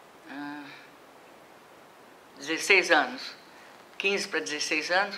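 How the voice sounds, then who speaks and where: Speaking at a fairly slow pace, a woman has a very deep, low voice, and the room echo is audible. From Brazil, Minas Gerais (Juiz de Fora). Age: 70s. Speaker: retired professor of physical education. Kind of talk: oral history interview.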